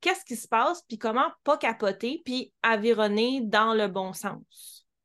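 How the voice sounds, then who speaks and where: A woman's high-pitched voice at a very slow pace against a quiet background. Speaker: podcast host, dog trainer. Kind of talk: interview.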